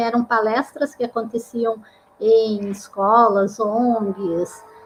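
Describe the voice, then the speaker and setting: With a Paraná accent, a woman speaks. Her voice is high-pitched. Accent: Paraná interior. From interior of Paraná, Brazil. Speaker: psychologist and career counselor, live show host. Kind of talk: online live talk, self-introduction.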